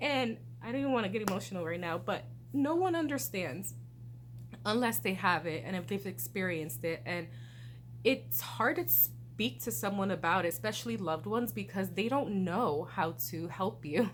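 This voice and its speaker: Speaking at a moderate pace, a woman is heard. Room echo is audible. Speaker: vlogger. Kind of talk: casual chat. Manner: slurred speech; hesitant, many fillers.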